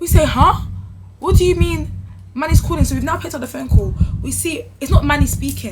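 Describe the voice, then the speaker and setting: A woman with a London accent speaks at a very fast pace in an animated tone, with big swings in loudness. She leaves long, frequent pauses, and music plays in the background. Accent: London multicultural English. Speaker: youtuber. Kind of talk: storytime.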